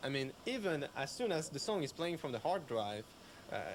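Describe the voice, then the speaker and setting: A man with a French accent. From France. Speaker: radio systems engineer. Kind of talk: technical explanation. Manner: halting.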